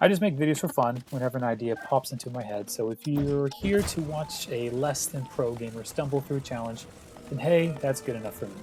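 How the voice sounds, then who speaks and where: Music plays in the background. Over it, a man speaks at a fairly quick pace. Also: medium pitch for a man, ordinary pitch variation. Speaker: gaming YouTuber. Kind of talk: gameplay commentary narration.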